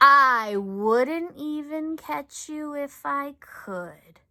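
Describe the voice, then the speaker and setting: In a put-on character voice, a woman speaks at high pitch and a very slow pace. The recording is very clean with a silent background. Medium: read story. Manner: polite.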